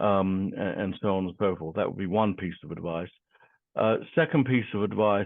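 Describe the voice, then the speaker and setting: A fairly low-pitched man at a fairly slow pace, with ordinary pitch variation. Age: 60s. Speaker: divorce coach. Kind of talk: interview. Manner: halting with fillers.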